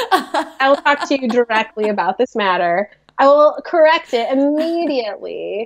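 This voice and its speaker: A woman with a Midwestern accent talks at a moderate pace in a high pitch. Her pitch swings very widely. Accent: American, Midwestern. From US Midwest. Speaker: podcast co-host. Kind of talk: casual chat. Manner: animated.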